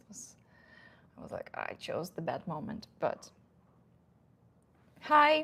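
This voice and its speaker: A somewhat breathy woman with a Russian accent talks at a moderate pace. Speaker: dating advice youtuber. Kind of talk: casual live stream Q&A. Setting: live stream at home. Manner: halting, many fillers.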